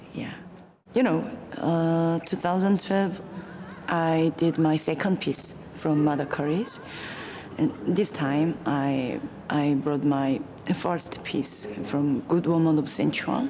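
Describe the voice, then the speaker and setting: At a very slow pace and a very deep, low pitch, a woman speaks with long, frequent pauses over noticeable background noise. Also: ordinary pitch variation. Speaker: pansori singer and performer. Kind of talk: interview. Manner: halting.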